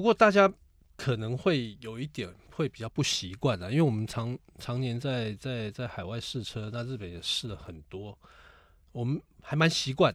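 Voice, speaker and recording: A medium-pitched man at a moderate pace, with lively intonation and big swings in loudness, on a very clean recording with a silent background. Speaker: podcast co-host, car enthusiast. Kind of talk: casual chat.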